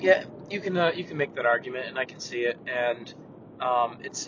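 Ordinary pitch variation from a man speaking at moderate speed, noticeable noise in the background. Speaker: hockey writer, co-host. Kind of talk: casual sports chat podcast.

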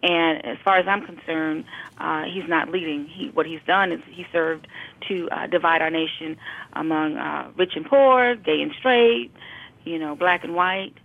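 A woman with an American accent speaks at a moderate pace in a fairly low pitch, with ordinary pitch variation. She has an unremarkable speaking voice. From Brooklyn, New York. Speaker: educator. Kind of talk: casual chat.

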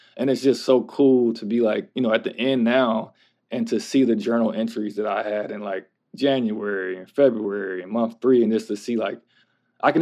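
Against a quiet background, a man with an American accent and an unremarkable speaking voice talks at medium pitch with ordinary pitch variation. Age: 30s. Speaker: bootcamp graduate, former parole officer. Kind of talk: interview. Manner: casual, filler-heavy (like, kinda, um).

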